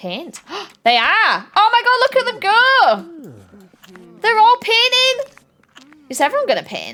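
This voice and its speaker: A woman's raised, projected voice, extremely high in pitch, very slow, with lively intonation. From Yorkshire. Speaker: streamer. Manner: excitable, chatty.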